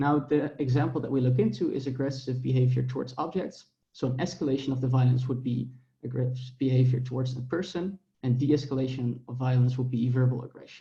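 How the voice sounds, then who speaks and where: Very fast in pace, a man speaks at a medium pitch in a dark, mellow tone that is somewhat breathy, keeping his intonation fairly even. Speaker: academic researcher presenting a paper. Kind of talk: conference paper presentation.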